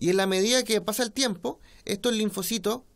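Moderate-paced speech from a man. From Chile. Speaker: politician; interviewee. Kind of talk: interview. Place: home room. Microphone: studio mic.

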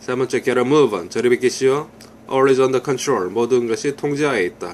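Light background noise sits behind a man with an unremarkable speaking voice. He talks at a fairly slow pace and a medium pitch. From South Korea. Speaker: English teacher. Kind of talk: language lesson. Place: home room. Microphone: phone near.

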